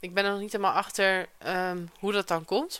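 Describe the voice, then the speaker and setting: A woman's bright, sharp voice at a moderate pace, on a very clean recording with a silent background. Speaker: podcast host, online business coach. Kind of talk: solo podcast monologue, casual. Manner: casual, conversational, uses many filler words.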